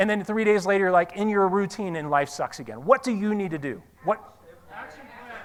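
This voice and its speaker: A man speaks in a raised, projected voice with high pitch and an animated tone. His intonation is lively, and his loudness swings widely. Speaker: motivational speaker. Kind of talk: seminar talk to live audience. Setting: stage with audience. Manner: fast.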